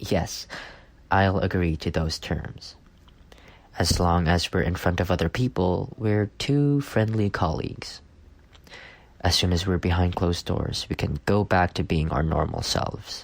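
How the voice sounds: A man does a put-on character voice at a low pitch with vocal fry. He goes at a fairly slow pace with ordinary pitch variation.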